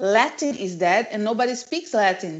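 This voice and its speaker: This woman speaks with a Brazilian accent. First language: Portuguese. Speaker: language teacher. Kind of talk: live language class.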